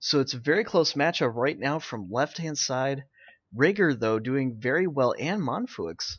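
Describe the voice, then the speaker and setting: This man has a plain, everyday voice at medium pitch. He talks at a fairly slow pace with lively intonation. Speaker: game caster. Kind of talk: live game commentary.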